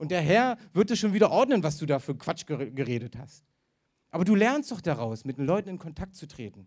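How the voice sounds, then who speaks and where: Pitched high, a man talks at a fairly quick pace in an animated tone. His voice makes very wide pitch swings. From eastern Germany. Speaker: evangelist preacher. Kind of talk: sermon.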